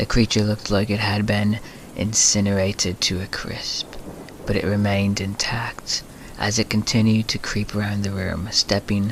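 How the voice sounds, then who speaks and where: A man's fairly low-pitched voice at a moderate pace, with noticeable background noise. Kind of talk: sleep story, scary story reading.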